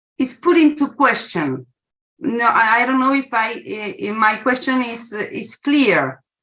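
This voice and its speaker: Speaking at a fairly slow pace, a woman with a Spanish accent uses a high pitch, lively intonation and a bright, sharp tone. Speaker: academic discussant. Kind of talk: academic Q&A question. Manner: halting, many fillers.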